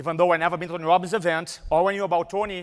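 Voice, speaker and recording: A man with a strong Brazilian accent speaks at a high pitch. The recording is very clean, with a silent background. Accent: Brazilian Portuguese accent, thick. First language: Portuguese. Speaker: motivational speaker. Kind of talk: live seminar talk. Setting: stage with audience. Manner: animated.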